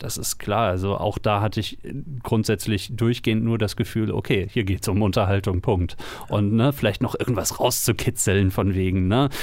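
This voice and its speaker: Fairly even intonation and a moderate pace in a man's fairly low voice. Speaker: podcast co-host, citizen media maker. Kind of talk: casual chat.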